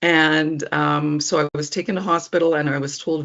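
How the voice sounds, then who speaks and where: A woman speaks with a Canadian accent and a very deep, low pitch. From Alberta, Canada (Edmonton). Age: 60s. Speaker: person living with epilepsy. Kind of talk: personal testimony interview. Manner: conversational with frequent ums.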